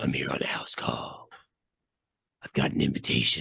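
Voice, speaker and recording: The speaker adopts a put-on character voice that sounds raspy. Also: moderate pace. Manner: theatrical, overdone.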